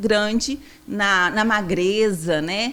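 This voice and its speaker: A woman with a strong Minas Gerais accent and a fairly high pitch. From Minas Gerais, Brazil. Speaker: nutritionist. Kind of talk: podcast interview.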